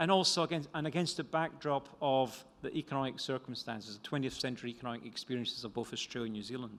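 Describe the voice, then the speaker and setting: In a Scottish accent, a man talks at a very fast pace with a fairly high pitch and ordinary pitch variation. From Scotland. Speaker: economist and author.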